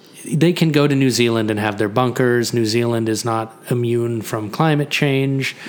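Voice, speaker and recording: Against noticeable background noise, a man with a medium pitch talks at a fairly slow pace with fairly even intonation. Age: 30s. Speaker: podcast co-host. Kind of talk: casual chat.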